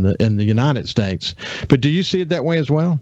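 Talking at a very fast pace, a man speaks. He has a Southern US accent. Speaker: radio host. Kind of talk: radio interview. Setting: studio.

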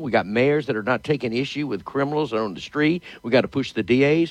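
Talking at a very fast pace, a man with medium pitch uses lively intonation in a Louisiana accent. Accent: Louisiana Southern US. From Louisiana, Shreveport. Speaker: politician. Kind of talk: interview.

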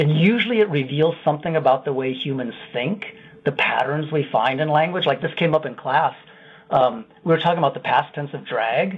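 At a fairly quick pace, a man with a fairly high pitch and an American accent uses ordinary pitch variation in a normal speaking voice. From Iowa. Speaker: linguistics professor. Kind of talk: radio interview.

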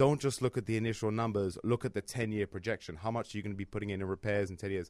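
The recording is very clean, with a silent background and a dry, close sound with no echo. A man with a London accent talks at a very fast pace with a fairly low pitch and ordinary pitch variation. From London, England. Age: 30s. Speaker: real estate investor, former trader. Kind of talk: casual chat.

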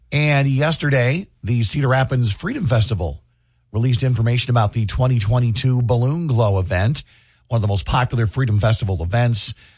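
A man talks at a fairly quick pace in a somewhat breathy voice of medium pitch. His pitch varies in an ordinary way, and his loudness stays very even. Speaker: radio host. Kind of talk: casual chat. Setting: studio.

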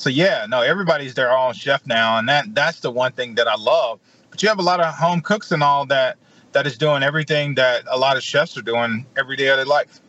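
In a Mississippi accent, a man speaks fairly quickly at a fairly high pitch with ordinary pitch variation. His tone is bright and sharp. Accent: US Southern (Mississippi). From Mississippi (Edwards, rural farm). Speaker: chef. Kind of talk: radio interview.

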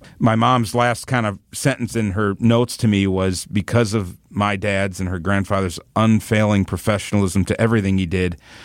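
A man with an American accent speaks in a plain, everyday voice at fairly low pitch, with fairly even intonation and a moderate pace. He hardly pauses, and the recording is very clean with a silent background. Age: 40s. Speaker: media company employee sharing family memories. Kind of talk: casual interview.

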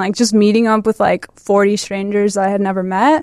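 An ordinary speaking voice from a woman with an American accent, medium in pitch, at a moderate pace, in a dry, close sound with no echo. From Chicago suburbs, US Midwest. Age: 20s. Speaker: photographer. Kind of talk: interview.

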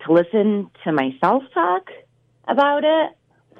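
A woman speaks in an upstate New York accent at a very slow pace. Her fairly high pitch swings very widely. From Utica, New York. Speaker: restaurant owner. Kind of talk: phone interview. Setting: phone call.

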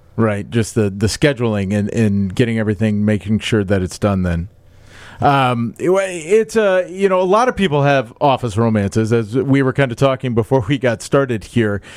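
Speaking with an American accent and an ordinary speaking voice, a medium-pitched man talks at a moderate pace with lively intonation and very even loudness. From Iowa, US Midwest. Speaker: podcast host. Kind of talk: casual chat. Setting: studio.

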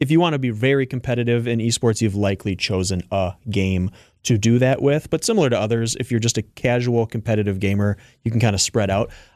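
A man's medium-pitched voice at a very fast pace with ordinary pitch variation, over a quiet background. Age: 30s. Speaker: esports organization founder. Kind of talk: radio interview.

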